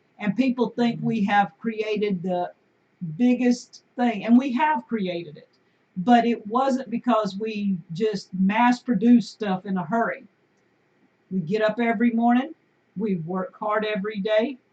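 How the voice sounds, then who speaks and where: A woman with an American accent, a fairly high, somewhat breathy voice, a dark, mellow tone, ordinary pitch variation and big swings in loudness. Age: 50s. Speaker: homesteader and video host. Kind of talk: casual live-stream chat. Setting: live stream on camera at home.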